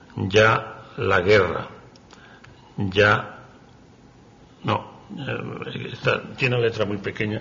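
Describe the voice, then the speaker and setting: Speaking very slowly with long, frequent pauses, a man keeps a fairly low pitch. His intonation is fairly even, and background noise is noticeable. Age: 70s. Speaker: poet. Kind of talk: talk with poetry reading. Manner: halting, stumbling over words.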